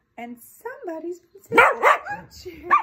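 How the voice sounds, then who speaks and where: A put-on character voice, female-sounding and squeaky, extremely high in pitch with very wide pitch swings, at a moderate pace. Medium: read story.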